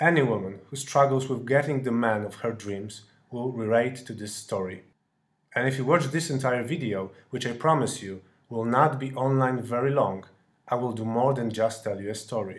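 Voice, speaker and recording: Medium in pitch, a man with a European accent talks at a moderate pace with ordinary pitch variation. The room echo is audible. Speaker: dating coach. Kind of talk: sales pitch.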